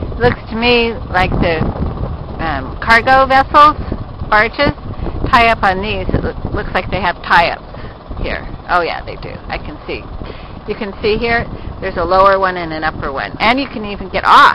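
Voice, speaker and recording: Moderate pace with long, frequent pauses, a dry sound with no echo, and noticeable background noise. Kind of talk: casual travel narration. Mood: relaxed, curious. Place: boat. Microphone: phone near.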